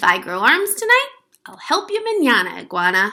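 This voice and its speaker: Putting on a character voice, a woman speaks high with very wide pitch swings and big swings in loudness. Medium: read story. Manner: lazy, excuse-making.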